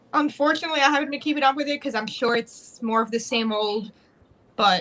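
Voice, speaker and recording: A woman speaks at a very fast pace and a high pitch. Noticeable background noise runs underneath. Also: ordinary pitch variation. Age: 20s. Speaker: campaign supporter. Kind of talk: casual chat.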